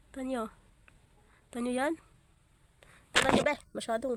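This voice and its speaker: The woman's pitch is high. She talks fairly slowly. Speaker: beauty vlogger. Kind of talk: casual makeup tutorial vlog. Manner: chatty, rambling filler words.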